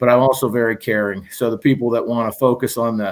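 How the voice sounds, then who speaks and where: A man with a medium-pitched voice and an American accent speaks at a fairly quick pace in a flat monotone. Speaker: high school basketball coach. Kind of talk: casual interview. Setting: video call. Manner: loud.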